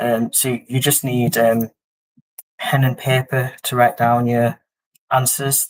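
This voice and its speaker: Speaking fairly slowly with fairly even intonation, a man talks with a Yorkshire accent. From Yorkshire, northern England. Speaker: quiz host. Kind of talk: live-stream quiz hosting. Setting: live stream. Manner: hesitant, many fillers.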